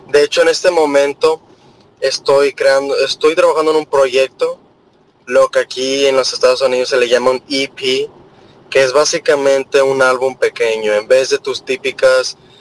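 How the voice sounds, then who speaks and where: Recorded dry and close with no echo but with noticeable background noise, a man talks at a fairly slow pace. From Monterrey, Mexico. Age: 20s. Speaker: electronic music producer and DJ. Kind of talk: radio interview.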